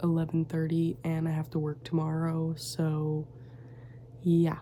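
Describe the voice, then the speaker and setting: A woman speaks quietly at a fairly low pitch. Her intonation is monotone and flat. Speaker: crochet small business owner and vlogger. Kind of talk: casual vlog chat. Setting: home studio, late at night. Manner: quiet, hushed; chatty, many fillers.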